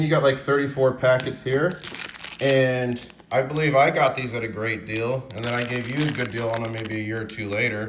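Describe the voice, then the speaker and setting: Speaking at a very fast pace, a man uses a medium pitch with ordinary pitch variation. Noticeable background noise runs underneath. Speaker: precious metals YouTuber and stacker. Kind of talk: casual talk to camera, interview host.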